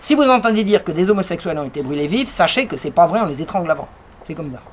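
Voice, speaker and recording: Over noticeable background noise, a woman talks at a very fast pace in a fairly low pitch, with an animated tone, very wide pitch swings and big swings in loudness. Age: 60s. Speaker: author and lecturer. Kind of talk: lecture.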